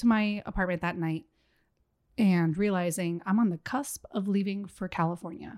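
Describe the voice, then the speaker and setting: A plain, everyday voice from a woman, medium in pitch with ordinary variation, at a fairly slow pace in a very clean recording with a silent background. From Miami, Florida. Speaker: podcast guest, mother. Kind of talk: casual chat.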